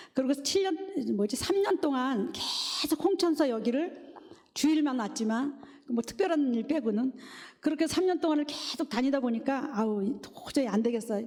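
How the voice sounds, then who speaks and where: A woman's high voice moves along at a moderate pace, her intonation lively. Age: 60s. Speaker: church deaconess giving testimony. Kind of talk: testimony.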